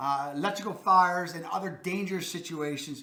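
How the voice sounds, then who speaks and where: A man with a Baltimore accent speaks in a raised, projected voice at a high pitch with ordinary pitch variation. Audible room echo surrounds him. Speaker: real estate video host. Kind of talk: informational video talk. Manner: casual, self-correcting.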